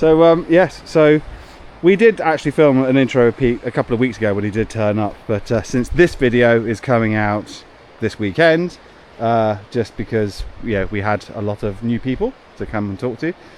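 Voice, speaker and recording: Lively in intonation, a man with a normal speaking voice holds a medium pitch and a moderate pace. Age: 40s. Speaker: homestead renovation vlogger. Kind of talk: casual vlog chat.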